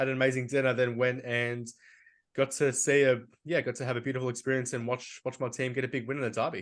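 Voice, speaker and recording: In an Australian accent, a man rattles along at a very fast pace in a flat monotone at medium pitch. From Australia, Melbourne. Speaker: football podcast co-host. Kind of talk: casual chat.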